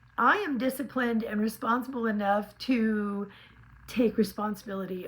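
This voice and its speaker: A woman talks at a fairly slow pace with a fairly high pitch and ordinary pitch variation. Noticeable background noise runs behind her. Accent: American. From California. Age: 60s. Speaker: lifestyle vlogger. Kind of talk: casual vlog monologue. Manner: animated.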